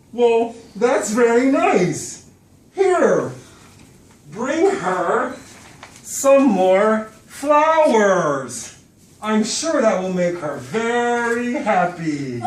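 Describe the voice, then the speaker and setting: A put-on character voice with a fairly high pitch moves at a very slow pace, with long, frequent pauses and slight echo. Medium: stage play. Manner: smooth, fake-friendly.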